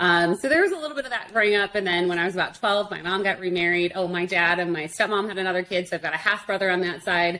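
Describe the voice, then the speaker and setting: Over noticeable background noise, a woman with an American accent talks at a very fast pace with hardly any pauses, a medium pitch and ordinary pitch variation. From Arizona, US (Tucson). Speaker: internet marketing expert. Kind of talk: interview conversation.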